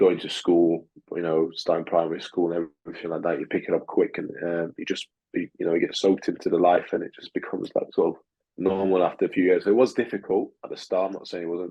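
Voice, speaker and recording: This man talks at a very fast pace, with big swings in loudness. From Russia, moved to England at seven. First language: Russian. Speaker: amateur boxer. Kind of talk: interview. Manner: halting, many fillers.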